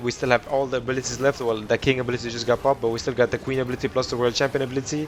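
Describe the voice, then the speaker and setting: Noticeable background noise accompanies speech with fairly even intonation. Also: man. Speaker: gaming youtuber. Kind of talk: gameplay commentary. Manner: fast; casual, halting with self-corrections.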